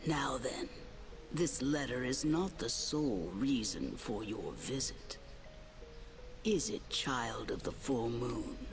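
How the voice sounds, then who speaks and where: Someone performs a put-on character voice at a fairly slow pace with long, frequent pauses, over loud background noise. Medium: game stream. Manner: formal, archaic, measured.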